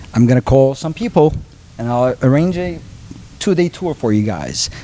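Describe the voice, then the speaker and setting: A man with a medium pitch and lively intonation at a moderate pace, amid noticeable background noise. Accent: Turkish. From Turkey, Istanbul. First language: Turkish. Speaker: transfer printing business owner. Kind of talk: podcast interview. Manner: hesitant, many fillers.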